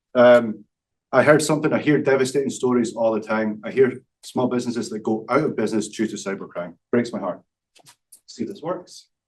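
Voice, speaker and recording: A man of medium pitch talks at a fairly quick pace, with ordinary pitch variation and big swings in loudness. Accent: Scottish. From Scotland. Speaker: startup founder, cybersecurity. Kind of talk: business pitch presentation. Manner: hesitant, many fillers.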